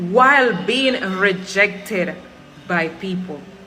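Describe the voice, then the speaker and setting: Music plays behind a woman whose tone is animated and whose pitch varies in an ordinary way. The room echo is audible. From Cuba. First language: Spanish. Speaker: Cuban immigrant in Jamaica. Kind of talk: personal testimony.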